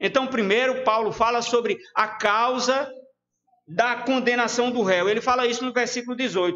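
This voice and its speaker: A man speaks with an extremely high pitch at a moderate pace. His intonation is fairly even, and the room echo is audible. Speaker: preacher. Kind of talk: sermon. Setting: church livestream.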